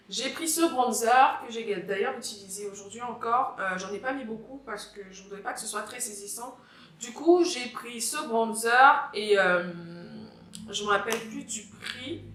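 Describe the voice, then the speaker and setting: A woman with a slight Cameroonian accent speaks at a fairly high pitch and a fairly slow pace, with ordinary pitch variation and big swings in loudness. Noticeable background noise and audible room echo fill the recording. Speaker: beauty vlogger. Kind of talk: product review vlog. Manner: casual, repetitive, hesitant.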